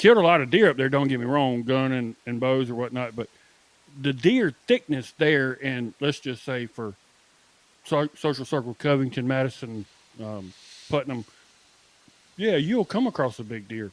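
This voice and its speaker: A man speaks with a Southern US accent. His speech has long, frequent pauses. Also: medium pitch for a man, ordinary pitch variation, moderate pace. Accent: Southern US (Georgia). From Southwest Georgia, US. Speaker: archery podcast co-host and bowhunter. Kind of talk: casual chat.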